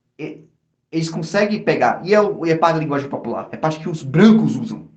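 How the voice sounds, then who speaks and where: A man's animated, fairly high-pitched voice at a fairly quick pace, with ordinary pitch variation and audible room echo. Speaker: podcast host. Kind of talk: casual chat.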